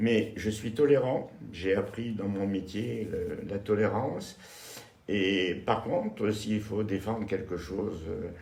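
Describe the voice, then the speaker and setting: A man with a fairly low voice talks very slowly with ordinary pitch variation, while room echo is audible and background noise is noticeable. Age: 70s. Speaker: retired civil aviation worker seeking a partner. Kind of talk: interview. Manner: hesitant.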